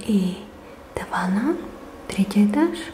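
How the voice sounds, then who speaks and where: A soft-spoken woman's fairly high voice in a gentle tone, very slow, with noticeable background noise. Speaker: ASMR creator. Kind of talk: ASMR soft-spoken home tour of vintage tapestries. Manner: soft-spoken, gentle.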